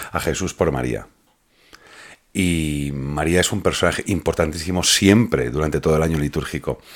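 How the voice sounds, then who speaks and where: A man's voice sits very deep and low in pitch, with vocal fry. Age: 40s. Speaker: podcast host. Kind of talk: casual religious podcast chat. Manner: halting, repeats words.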